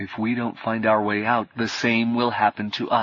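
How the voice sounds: What you hear is a natural reading voice.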